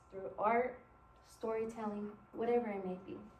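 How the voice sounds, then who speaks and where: Fairly slow speech with a Spanish accent and audible room echo. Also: woman. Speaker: college intern presenting to teachers. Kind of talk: presentation to educators.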